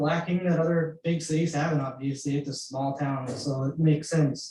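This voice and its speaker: In an American accent, a man with a fairly high pitch speaks at a moderate pace in a monotone, flat intonation. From Houston suburbs, Texas. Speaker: committee member, resident. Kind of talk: public meeting discussion.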